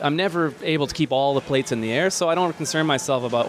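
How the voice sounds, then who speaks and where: Noticeable background noise sits behind a man talking at a very fast pace. His intonation stays fairly even. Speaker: podcast host. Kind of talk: casual chat. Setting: gym with class going on nearby.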